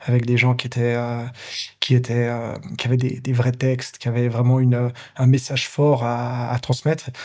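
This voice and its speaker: A man of medium pitch talks at a fairly quick pace in a dark, mellow, somewhat breathy tone. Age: 30s. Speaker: pianist, composer and entrepreneur. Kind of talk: interview. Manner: fast; clear articulation.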